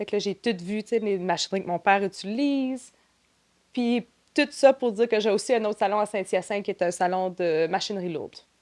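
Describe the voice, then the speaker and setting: Medium-pitched woman at a fairly quick pace, with ordinary pitch variation. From New Brunswick, Canada (Grand Manan island). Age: 30s. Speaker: trade show marketing and operations director. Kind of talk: podcast interview.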